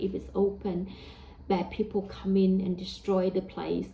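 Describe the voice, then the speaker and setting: A woman's medium-pitched voice with a Vietnamese accent. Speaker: religious teacher. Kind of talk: religious talk. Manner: hesitant, with fillers.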